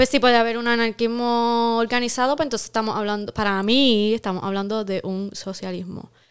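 In a very clean recording with a silent background, a woman with a Puerto Rican accent speaks fairly quickly at a fairly high pitch, her intonation fairly even. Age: 30s. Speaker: podcast co-host. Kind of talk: casual chat. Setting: studio.

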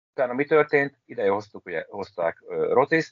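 A man at a fairly slow pace. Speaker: handball blogger and podcast co-host. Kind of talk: casual chat.

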